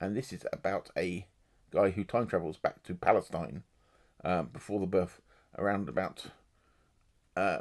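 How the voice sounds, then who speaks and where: A man speaks at a very deep, low pitch with vocal fry. He uses ordinary pitch variation and long, frequent pauses. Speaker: booktuber. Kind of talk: casual book review monologue. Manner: fast.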